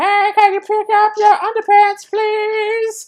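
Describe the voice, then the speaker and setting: A put-on character voice, squeaky and extremely high in pitch, delivers its lines in a flat monotone at a fairly slow pace. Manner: cat-like, mocking.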